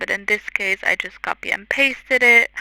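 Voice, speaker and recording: A woman with a non-native accent speaks at a fairly slow pace and a fairly high pitch, her intonation fairly even and the sound dry and close with no echo. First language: not English. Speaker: content creator. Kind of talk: tutorial voiceover. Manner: hesitant, many fillers.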